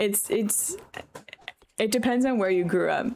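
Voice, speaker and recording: A woman with an American accent talks at a moderate pace and medium pitch, with ordinary pitch variation. The recording is very clean and the background silent. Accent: New York accent noticed by Californians. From New York. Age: 20s. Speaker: game streamer. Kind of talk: casual chat. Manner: casual, filler-heavy.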